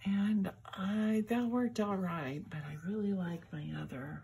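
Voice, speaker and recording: A woman is speaking. Her words come out mumbled. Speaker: crafting video host. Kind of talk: tutorial. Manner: mumbling; halting.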